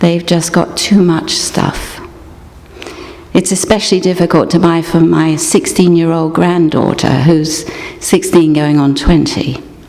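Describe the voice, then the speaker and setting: A woman speaks at a fairly slow pace in a fairly low voice, her intonation fairly even and her loudness very even, with noticeable background noise. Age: 60s. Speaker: guest speaker at a church service. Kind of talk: scripted dramatic reading.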